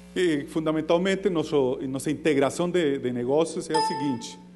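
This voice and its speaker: A man's fairly high voice with a non-native accent, ordinary pitch variation and a moderate pace, over music in the background. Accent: foreign accent in Portuguese. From foreign, not Brazilian. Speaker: entrepreneur. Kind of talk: business pitch. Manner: halting.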